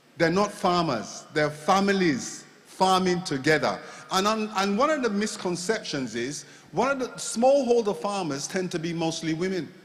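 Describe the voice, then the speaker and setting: A man's high pitch and lively intonation at a moderate pace, with noticeable background noise. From Jamaica. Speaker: agricultural consultant. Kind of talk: panel discussion.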